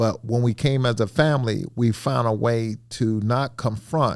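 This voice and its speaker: The voice has a dark, mellow tone, ordinary pitch variation and a Mississippi accent. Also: man. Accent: Mississippi Southern. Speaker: retired company administrator, father. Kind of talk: casual family interview. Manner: loud, forceful when excited.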